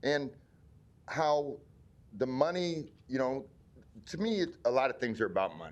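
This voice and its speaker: With a Midwestern American accent, a man speaks at a moderate pace with lively intonation. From Omaha, Nebraska. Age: 60s. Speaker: community member speaking at public hearing. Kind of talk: public hearing testimony. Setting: city planning board meeting. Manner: halting.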